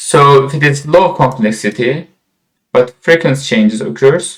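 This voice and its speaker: A somewhat breathy man with a fairly high pitch talks at a fairly slow pace, his intonation lively. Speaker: software instructor. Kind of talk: lecture.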